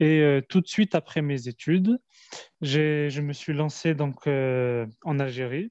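A man's very slow speech with ordinary pitch variation, dry and close with no echo. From Algeria, raised in France. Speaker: industrial business owner. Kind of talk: interview.

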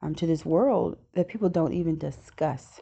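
Against a quiet background, a woman with a dark, mellow tone and fairly low pitch talks at a moderate pace with ordinary pitch variation. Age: 30s. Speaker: self-improvement podcast host. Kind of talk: solo podcast monologue. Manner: casual, conversational with fillers.

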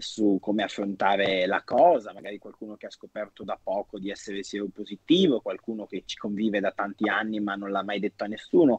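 Using an unremarkable speaking voice, a man talks at a fairly quick pace with hardly any pauses, a fairly low pitch, fairly even intonation and big swings in loudness. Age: 20s. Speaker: personal trainer living with HIV, documentary subject. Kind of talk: casual chat.

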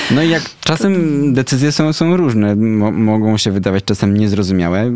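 This man has a normal speaking voice at a fairly low pitch. He talks at a moderate pace with lively intonation. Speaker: radio host. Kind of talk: casual interview chat. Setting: radio studio.

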